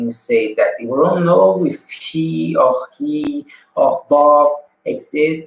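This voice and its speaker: Very slow speech comes in a non-native accent. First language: not English. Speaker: vlogger practicing English. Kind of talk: casual monologue. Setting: live stream on camera. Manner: halting, repeated words; loud.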